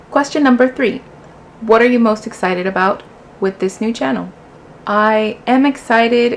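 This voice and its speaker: Speaking at a fairly slow pace over noticeable background noise, a woman with a Spanish accent uses a fairly high pitch and ordinary pitch variation. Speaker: booktuber. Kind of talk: casual vlog, answering tag questions. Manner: casual, conversational with fillers.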